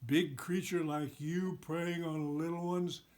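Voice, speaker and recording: Here a man performs a put-on character voice. It sits high in pitch and moves at a fairly slow pace. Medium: read story.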